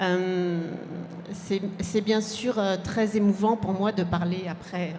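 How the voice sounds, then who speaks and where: Noticeable background noise sits behind a woman's voice. She speaks at a fairly slow pace in a monotone, flat intonation. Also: medium pitch for a woman. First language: French. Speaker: publisher. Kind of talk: panel discussion. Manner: halting.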